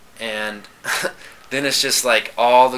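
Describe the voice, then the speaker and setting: Noticeable background noise surrounds a man who talks at a very slow pace. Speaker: person who stutters, former therapy client. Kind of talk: conversational interview. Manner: stutters.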